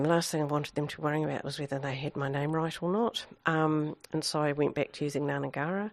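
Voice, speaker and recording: Over a silent background on a very clean recording, a woman with a New Zealand accent speaks fairly quickly in a very deep, low voice. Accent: Kiwi. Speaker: public health director, former coroner. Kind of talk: interview. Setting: office.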